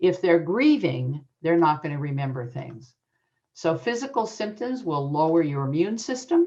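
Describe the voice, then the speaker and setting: A woman's fairly low, dark, mellow voice at a moderate pace, with very wide pitch swings. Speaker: adoption educator and author. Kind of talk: conference presentation.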